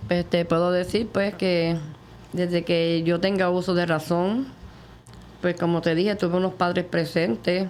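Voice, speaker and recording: A woman with a normal speaking voice talks at a fairly slow pace in a fairly low pitch, her intonation fairly even and her loudness very even. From Puerto Rico, Morovis. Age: 60s. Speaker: testimony guest. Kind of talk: testimony interview.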